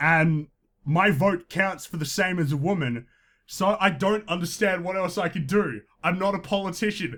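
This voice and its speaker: A loud man speaks at a high pitch. His pace is moderate, with ordinary pitch variation. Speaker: podcast host. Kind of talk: comedic commentary podcast. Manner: tends to speak loudly.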